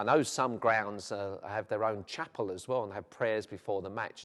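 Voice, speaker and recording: Speaking at a fairly quick pace with a South London accent, a man with a fairly low pitch and ordinary pitch variation comes through on a very clean recording with a silent background. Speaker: vicar. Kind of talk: documentary interview. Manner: hesitant, with frequent fillers.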